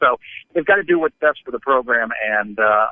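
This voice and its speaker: A man speaks in an unremarkable speaking voice, fairly quickly, with lively intonation. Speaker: podcast co-host. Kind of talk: sports podcast banter. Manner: dry, wry.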